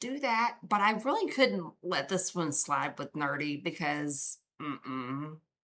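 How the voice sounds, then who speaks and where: A woman with a Southern US accent and a bright, sharp tone, fairly low pitch, very wide pitch swings, a fairly slow pace and hardly any pauses. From US South. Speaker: true crime streamer. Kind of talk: casual live stream chat. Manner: casual, chatty.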